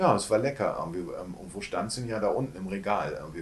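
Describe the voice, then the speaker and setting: A man's fairly low voice, very fast, with ordinary pitch variation. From northern Germany, Hamburg. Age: 50s. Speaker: actor and postcard publisher. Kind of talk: casual interview. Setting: shop.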